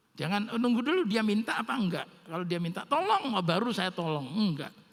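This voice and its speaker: Lively intonation marks this man's speech, delivered at a fairly quick pace. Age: 60s. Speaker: pastor. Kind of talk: sermon. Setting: church online service. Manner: casual, conversational.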